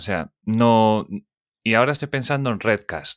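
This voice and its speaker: A man speaks in a plain, everyday voice at a medium pitch and moderate pace, the sound dry and close with no echo over a quiet background. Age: 30s. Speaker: podcast host. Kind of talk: casual interview chat.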